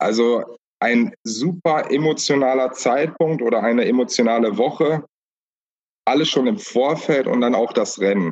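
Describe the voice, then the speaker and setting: With a plain, everyday voice, a man of medium pitch talks at a fairly slow pace with lively intonation and very even loudness. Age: 30s. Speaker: cycling support crew member. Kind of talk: casual interview.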